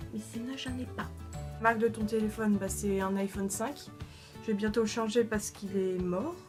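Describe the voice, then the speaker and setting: Music can be heard behind the speaker. A woman talks at a moderate pace. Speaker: makeup YouTuber. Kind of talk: casual talk to camera. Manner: hesitant, stammering.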